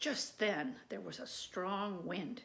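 An unforced voice reading aloud, its pitch shifting in ordinary measure

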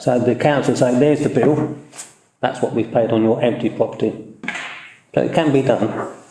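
Amid audible room echo, a man with a dark, mellow tone talks at medium pitch and a fairly quick pace, with fairly even intonation and long, frequent pauses. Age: 70s. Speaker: town councillor. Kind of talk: council meeting discussion. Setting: council chamber meeting, livestreamed.

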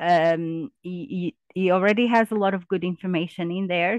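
In a normal speaking voice, a woman talks at a fairly slow pace and fairly low pitch with ordinary pitch variation, the sound dry with no echo and the background quiet. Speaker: university researcher. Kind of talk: webinar presentation. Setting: video call.

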